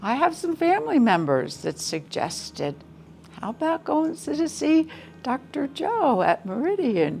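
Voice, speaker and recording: A woman speaks at a fairly slow pace, her pitch swinging very widely. Music plays in the background. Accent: American. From US East Coast. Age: 70s. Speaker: patient. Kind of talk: testimony. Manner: halting.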